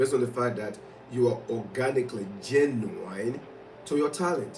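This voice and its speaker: A man talks in an animated tone with lively intonation, with audible room echo around him. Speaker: motivational speaker. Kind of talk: motivational livestream talk.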